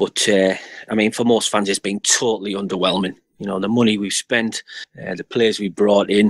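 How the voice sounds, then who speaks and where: At a moderate pace, a man with a Middlesbrough accent speaks with a fairly low pitch, in a dry, close sound with no echo. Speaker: football fan channel presenter. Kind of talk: casual chat.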